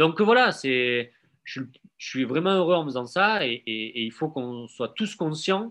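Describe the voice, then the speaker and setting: Speaking very slowly against a quiet background, a man with a southern French accent uses a fairly high, bright, sharp voice that swings very widely in pitch. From Marseille, southern France. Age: 30s. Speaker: blogger and gallery owner. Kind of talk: casual interview.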